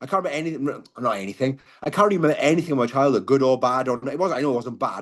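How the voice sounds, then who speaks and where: Someone speaks at a very fast pace with a Welsh accent. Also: man. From Wales. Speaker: car crash survivor, mental health advocate. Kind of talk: podcast interview.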